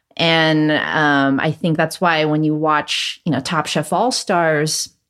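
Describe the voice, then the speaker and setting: Speech comes at a very slow pace with a Californian accent. The recording is very clean, with a silent background. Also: woman. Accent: general American, Californian. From Los Angeles, California, US. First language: Cantonese. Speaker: chef, cooking competition winner. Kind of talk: casual interview conversation.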